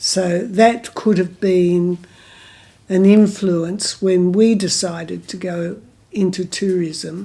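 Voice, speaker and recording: With an Australian accent, this voice has a dark, mellow tone and moves at a very slow pace in a monotone, flat intonation. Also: woman, medium pitch for a woman. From Margaret River, Western Australia. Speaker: local historian and former eco-tourism operator. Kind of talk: oral history interview answer.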